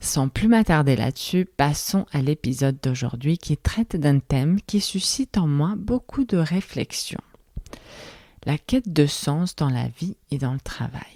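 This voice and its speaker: With a non-native accent, a woman speaks very slowly in a very deep, low voice with a dark, mellow tone, the sound dry and close with no echo. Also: lively intonation. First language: not French (speaking French). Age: 30s. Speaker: podcast host. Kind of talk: solo reflective podcast monologue.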